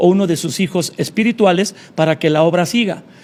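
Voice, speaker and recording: The man speaks with a high pitch. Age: 60s. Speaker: pastor. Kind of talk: interview.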